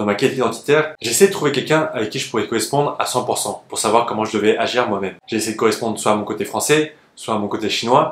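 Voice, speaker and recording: Ordinary pitch variation runs through speech delivered at a very fast pace. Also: man. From France, of Chinese descent. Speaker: YouTuber, former actor. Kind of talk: scripted narration.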